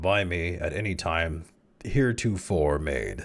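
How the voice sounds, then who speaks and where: In a put-on character voice, a man talks with a very deep, low pitch. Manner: portentous monotone.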